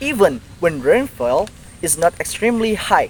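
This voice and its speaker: A man's voice makes very wide pitch swings over noticeable background noise. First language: Indonesian. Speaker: university student. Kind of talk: educational explainer, scripted.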